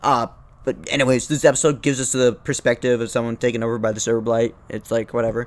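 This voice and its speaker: A man talking at a very fast pace. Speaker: YouTube video essayist. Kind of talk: casual commentary. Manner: stuttering; halting.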